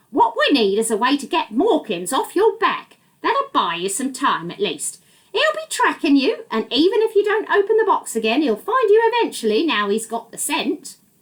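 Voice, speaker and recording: This put-on character voice moves at a moderate pace with very wide pitch swings. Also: female-sounding voice, extremely high pitch for a woman. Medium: read story. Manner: calm, knowing.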